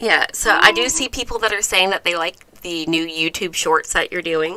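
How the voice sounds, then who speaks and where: Medium pitch from a woman, moderate pace, ordinary pitch variation, and noticeable background noise behind her. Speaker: channel host, cat toy designer. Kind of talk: casual live stream chat. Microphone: close microphone.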